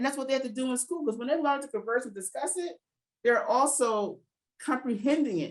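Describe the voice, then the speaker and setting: At a fairly quick pace, a woman talks in a high pitch with an animated tone and lively intonation. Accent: American. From New Jersey, US. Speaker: educator and literacy program founder. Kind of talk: interview conversation.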